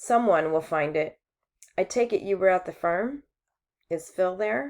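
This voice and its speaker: A put-on character voice, female-sounding and raspy, speaks at a middle pitch and a moderate pace. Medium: read story. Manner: blunt, laconic.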